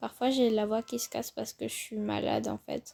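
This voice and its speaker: The speaker keeps a moderate pace while music sounds in the background. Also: woman. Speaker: gaming video creator. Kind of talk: casual gameplay commentary.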